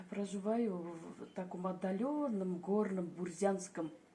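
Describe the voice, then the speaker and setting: The speech moves at a very slow pace with ordinary pitch variation. Noticeable background noise is present. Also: woman. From Bashkortostan, Russia. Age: old. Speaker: retired Wikipedia volunteer. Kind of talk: interview answer.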